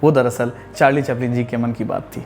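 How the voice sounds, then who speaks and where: Music plays in the background. A man is speaking. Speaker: narrator. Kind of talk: documentary narration.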